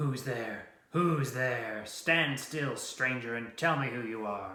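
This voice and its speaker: A man growls through a put-on character voice at medium pitch, speaking at a fairly slow pace with a slight echo. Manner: menacing, demanding.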